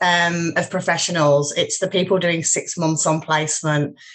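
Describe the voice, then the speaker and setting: A woman with a northern English accent against a quiet background. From northern England, Yorkshire. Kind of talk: casual roundtable chat.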